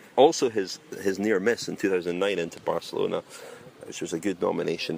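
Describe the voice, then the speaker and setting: At a very fast pace, a man talks over noticeable background noise. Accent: Scottish. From Scotland. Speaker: cycling podcast host. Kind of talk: casual chat.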